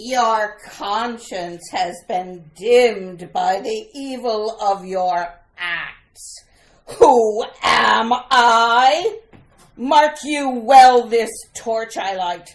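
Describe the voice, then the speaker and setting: A female-sounding put-on character voice speaks at a very slow pace with fairly high pitch. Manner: menacing, theatrical.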